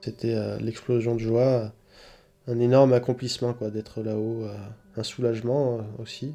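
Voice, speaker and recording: At a fairly slow pace, a man speaks in a medium pitch with a dark, mellow tone and monotone, flat intonation, leaving long, frequent pauses. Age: 30s. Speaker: mountain guide. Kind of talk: testimony. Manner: halting.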